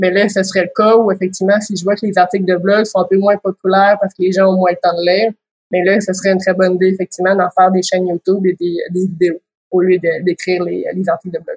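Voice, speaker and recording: With a Quebec accent, a woman talks at a very fast pace in a somewhat breathy, monotone voice with flat intonation. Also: medium pitch for a woman, dry, close sound with no echo. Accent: Québécois French. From Quebec, Quebec City. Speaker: lawyer and business owner. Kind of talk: interview.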